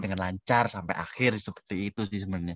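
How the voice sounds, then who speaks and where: Heard dry and close with no echo, a man is talking. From Indonesia, Central Lampung (Javanese parents). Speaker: student. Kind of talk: casual interview.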